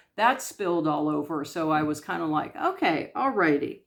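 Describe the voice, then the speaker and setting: Speaking at a moderate pace with an American accent, a woman is heard on a very clean recording with a silent background. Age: 60s. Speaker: YouTube vlogger. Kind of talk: casual inspirational talk to camera. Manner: hesitant, many fillers.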